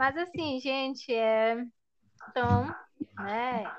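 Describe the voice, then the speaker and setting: Her intonation stays fairly even. The speaker is a woman. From Brazil, Ananindeua, Pará. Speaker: podcast host, teacher. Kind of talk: casual chat.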